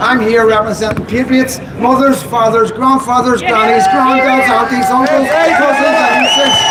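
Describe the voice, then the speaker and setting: A man with a Belfast accent speaks at an extremely high pitch and very even loudness. Crowd noise fills the background. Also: ordinary pitch variation, moderate pace. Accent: Belfast Northern Irish. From Northern Ireland, Belfast. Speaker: activist speaker. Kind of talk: rally speech. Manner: emphatic.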